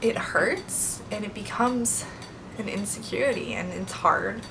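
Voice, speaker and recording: A woman's voice, with ordinary pitch variation, comes through audible room echo and noticeable background noise. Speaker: beauty vlogger. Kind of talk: casual vlog talk to camera.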